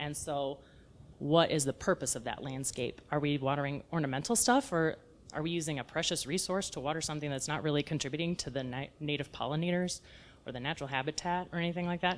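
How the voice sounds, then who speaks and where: A woman with an American accent, very deep and low in pitch, at a very fast pace with ordinary pitch variation. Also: very clean recording, silent background. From South Texas. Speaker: edible landscape designer. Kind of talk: lecture. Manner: casual, conversational.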